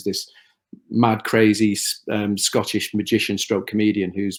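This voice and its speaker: A man speaks with a Liverpool accent. His pace is moderate. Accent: Scouse. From Liverpool, northern England. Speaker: TV producer. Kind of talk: interview. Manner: halting, repeats words.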